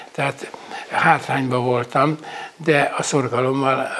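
The pace is very slow. Intonation stays monotone and flat. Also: man. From Hungary, Lake Balaton area. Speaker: retired wrestler and coach. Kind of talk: interview. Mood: warm, nostalgic, moved. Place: home room. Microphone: lapel.

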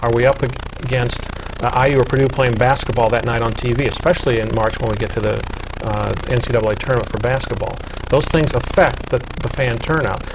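With noticeable background noise behind him, a man speaks at a medium pitch in fairly even intonation. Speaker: volleyball coach and broadcaster. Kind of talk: panel discussion. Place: studio. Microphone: lapel.

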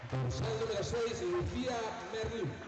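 Crowd noise fills the background as a man speaks at a very slow pace. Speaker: arena announcer. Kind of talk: player introductions. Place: hall.

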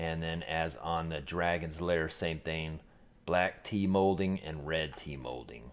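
Very deep, low male voice at a very slow pace, with fairly even intonation. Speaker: gaming channel host. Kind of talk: casual product review commentary. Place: home room.

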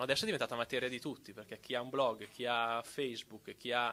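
A man speaks in a bright, sharp tone with vocal fry. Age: 30s. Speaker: copyleft advocate. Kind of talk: panel talk.

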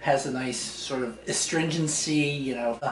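Audible room echo and light background noise surround a man talking at a fairly slow pace. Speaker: tea enthusiast host. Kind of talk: casual explanation to visitor. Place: kitchen.

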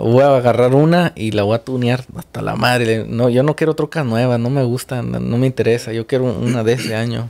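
A man speaks at a medium pitch and a fairly quick pace. He has hardly any pauses and fairly even intonation. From Mexico. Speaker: car channel host. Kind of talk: casual interview chat. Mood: amused, laughing storyteller. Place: studio. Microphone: studio mic.

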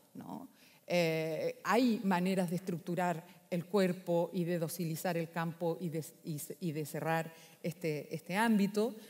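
A woman speaks fairly slowly at a fairly low pitch with fairly even intonation. It is an ordinary speaking voice. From Chile, Valparaíso; Chile. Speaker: philosopher; speaker. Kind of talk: conference talk. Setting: stage with audience. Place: hall. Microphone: echo in the room; headset.

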